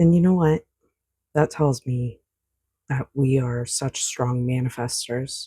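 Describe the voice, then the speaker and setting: The voice is quiet and very slow, broken by long, frequent pauses. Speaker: oracle card reader. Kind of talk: spiritual card reading. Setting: at home at night. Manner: quiet, indoor voice; casual, hesitant with fillers.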